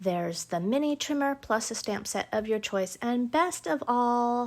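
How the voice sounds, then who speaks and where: At a moderate pace and with lively intonation, a woman with a fairly high pitch and an unremarkable speaking voice speaks on a very clean recording with a silent background. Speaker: paper craft demonstrator. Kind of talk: live crafting tutorial. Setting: home livestream. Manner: chatty, upbeat.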